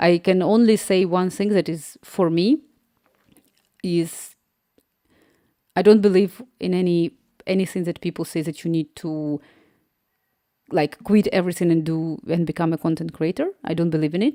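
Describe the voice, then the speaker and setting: With a Slavic accent, a woman speaks in a fairly low pitch and a dark, mellow tone, using ordinary pitch variation and long, frequent pauses. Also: moderate pace. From Ukraine. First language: Ukrainian or another Slavic language. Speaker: app developer and live streamer. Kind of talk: casual live stream chat. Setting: live stream.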